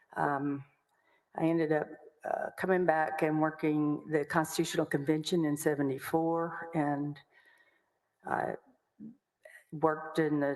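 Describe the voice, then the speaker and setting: With long, frequent pauses, a woman speaks slowly in a very deep, low, monotone voice. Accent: American. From Texas, Waco. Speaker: lawyer. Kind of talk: testimony.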